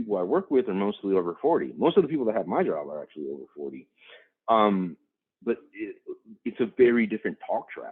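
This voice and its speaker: Talking at a fairly quick pace with an American accent, a man with a fairly low pitch shows big swings in loudness. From Chicago west side, US Midwest. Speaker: business executive guest speaker. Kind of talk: Q&A answers in a webinar talk. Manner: fast; casual, repetitive fillers.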